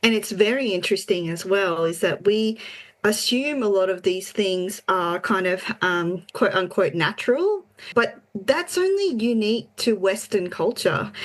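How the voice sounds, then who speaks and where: Spoken at a moderate pace with an Australian accent, the voice shows ordinary pitch variation. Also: woman. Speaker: podcast co-host. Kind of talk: casual chat.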